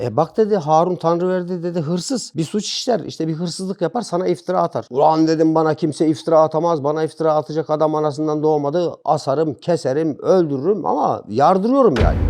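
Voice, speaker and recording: Over a quiet background, a man with a fairly high pitch and a dark, mellow tone talks at a fairly quick pace with hardly any pauses and ordinary pitch variation. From Kırıkkale, central Turkey. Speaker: former prisoner. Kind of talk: casual interview, personal storytelling.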